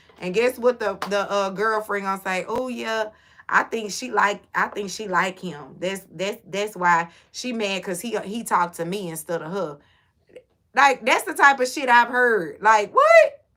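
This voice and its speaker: Speaking in a Houston accent, a woman keeps a fairly slow pace. Her tone is animated, and her loudness swings widely. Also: medium pitch for a woman, ordinary pitch variation. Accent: Houston, Texas. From Houston, Texas. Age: 40s. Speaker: livestreamer. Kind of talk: casual chat.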